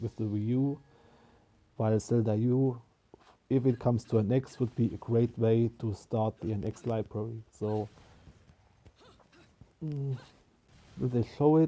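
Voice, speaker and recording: A man speaks fairly slowly with a non-native accent. His tone is dark and mellow, and his intonation fairly even. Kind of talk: casual talk to camera. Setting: poor-quality microphone. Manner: improvised, unscripted.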